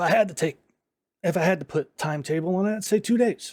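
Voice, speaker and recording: Putting on a character voice, a man talks at a very fast pace. His voice is raspy and high in pitch. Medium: actual play. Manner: measured, calm.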